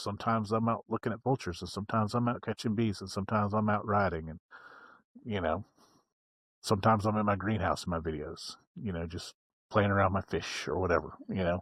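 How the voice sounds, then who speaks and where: In an American accent, the speaker goes at a very fast pace with ordinary pitch variation on a very clean recording with a silent background. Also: man. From West Virginia. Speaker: motorcycle vlogger. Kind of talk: casual interview chat. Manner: pauses to collect thoughts; low-key, not high energy.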